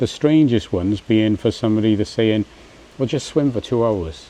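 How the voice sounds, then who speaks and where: A man with an English accent, a dark, mellow tone and fairly low pitch, at a moderate pace. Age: 60s. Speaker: vlogger. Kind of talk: casual vlog monologue. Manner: hesitant, many fillers and restarts.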